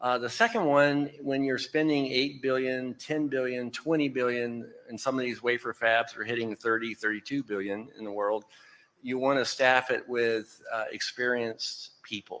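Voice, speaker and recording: This man speaks with a Texan accent. His pace is moderate and his intonation fairly even. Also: medium pitch for a man. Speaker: semiconductor company executive, panelist. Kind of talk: panel discussion.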